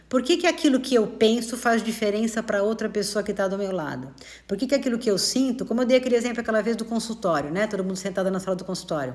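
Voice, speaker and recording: A woman speaks fairly quickly with lively intonation and a medium pitch. Her tone is warm and somewhat breathy. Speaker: spiritist study teacher. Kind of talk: live-streamed study talk. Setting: live stream. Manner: fast; warm and conversational.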